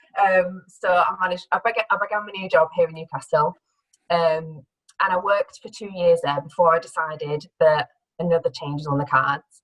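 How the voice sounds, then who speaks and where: A woman with a fairly low pitch and ordinary pitch variation speaks at a moderate pace, her loudness swinging widely, with a dry, close sound with no echo. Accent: northern English. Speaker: career change speaker, former theatre producer. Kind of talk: talk to an audience. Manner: hesitant, with fillers and restarts.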